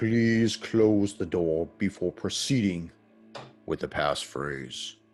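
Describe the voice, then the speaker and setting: A man with a fairly low pitch booms out a put-on character voice at a very slow pace over faint background music. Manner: authoritative.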